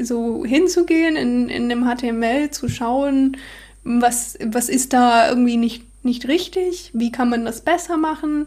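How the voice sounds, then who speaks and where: The speaker talks at a very slow pace with a non-native accent and ordinary pitch variation. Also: woman. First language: not German (speaking German). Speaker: software developer. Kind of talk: casual chat. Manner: halting.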